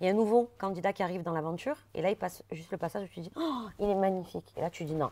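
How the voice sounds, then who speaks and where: Her tone dark and mellow, a woman speaks very fast with ordinary pitch variation. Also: medium pitch for a woman, very clean recording, silent background. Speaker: reality TV contestant. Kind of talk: interview. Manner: forceful, can sound aggressive.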